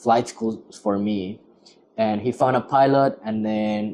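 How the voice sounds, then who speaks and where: In a dark, mellow tone, a man talks at a fairly slow pace, his fairly low pitch held in a monotone, flat intonation. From Ecuador. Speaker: airline pilot. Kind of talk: casual chat.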